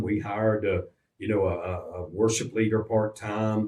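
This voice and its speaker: A man talks at a moderate pace with a Virginia accent. His voice is somewhat breathy. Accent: Southern US (Virginia). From US South, Roanoke, Virginia. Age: 70s. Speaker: pastor. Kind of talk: radio interview.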